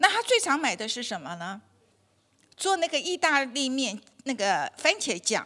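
In a quiet setting, a woman with a high pitch and a bright, sharp tone projects a raised voice at a moderate pace, her pitch swinging very widely. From Taiwan. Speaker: dietitian giving a health talk; health lecturer. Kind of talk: lecture. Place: hall. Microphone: handheld.

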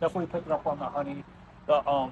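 A man's voice, flat and monotone, over light background noise. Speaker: beer reviewer. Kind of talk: casual vlog chat. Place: bar.

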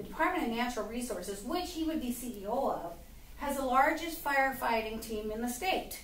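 With lively intonation and a fairly quick pace, a woman speaks over light background noise, her voice carrying audible room echo. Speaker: speaker. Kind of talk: political speech to audience. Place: stage. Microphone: camera far.

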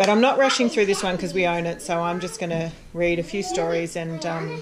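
A woman at a fairly low pitch, with fairly even intonation and a fairly quick pace, amid faint background noise

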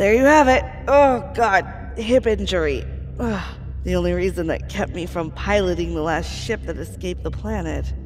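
In a gruff, put-on character voice, the speaker goes at a moderate pace over clear background noise. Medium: audio drama. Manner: profane, gruff, sarcastic.

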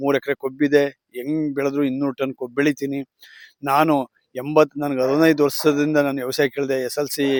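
The sound is dry and close with no echo. A man speaks at a fairly high pitch with monotone, flat intonation. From Mandya district, Karnataka. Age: 50s. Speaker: sugarcane farmer. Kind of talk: interview.

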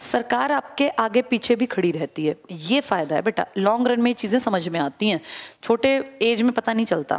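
A woman at a fairly high pitch, ordinary pitch variation and a moderate pace, over a quiet background. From India. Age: 40s. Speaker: exam coaching teacher. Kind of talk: motivational classroom talk. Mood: earnest, personal, persuasive. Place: classroom. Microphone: headset.

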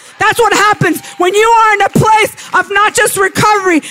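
Over noticeable background noise, the voice is raised and projected at a fairly quick pace. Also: man. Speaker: preacher. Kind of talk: sermon, personal and conversational teaching.

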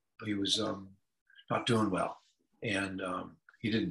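The background is quiet. A man with an American accent speaks in a bright, sharp tone. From California, US. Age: 70s. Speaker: musician. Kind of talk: casual chat. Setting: video call. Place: home room. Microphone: video call.

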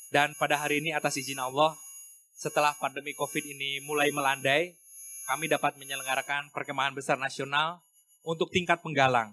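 A man at a very fast pace, in a monotone, flat intonation. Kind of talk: formal speech. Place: hall. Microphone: podium.

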